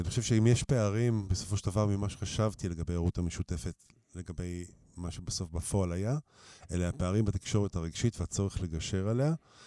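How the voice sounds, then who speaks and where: Very deep and low, a man's voice carries a dark, mellow tone with ordinary pitch variation at a fairly quick pace. The recording is very clean, with a silent background. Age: 50s. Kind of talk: interview.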